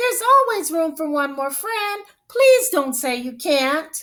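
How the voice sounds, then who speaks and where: A woman's put-on character voice, squeaky and extremely high-pitched, with very wide pitch swings at a fairly slow pace. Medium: read story. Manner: warm, welcoming.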